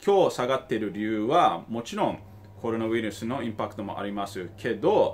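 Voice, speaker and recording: This man talks at a fairly quick pace. His pitch is medium, with ordinary variation. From Tokyo, Japan. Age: 30s. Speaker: investor and finance YouTuber; investor commentator. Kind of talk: video commentary. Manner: halting, with many fillers. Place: home room. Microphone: phone near.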